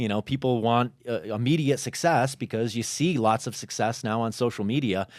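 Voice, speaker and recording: On a very clean recording with a silent background, a man with an American accent speaks fairly quickly in a normal speaking voice with ordinary pitch variation. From Chicago, US Midwest. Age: 40s. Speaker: entrepreneur and fitness content creator. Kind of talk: podcast interview. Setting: studio.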